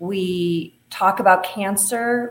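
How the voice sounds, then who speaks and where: This woman speaks with a Midwestern American accent. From US Midwest, Ohio. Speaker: author and breast cancer survivor. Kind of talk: interview conversation.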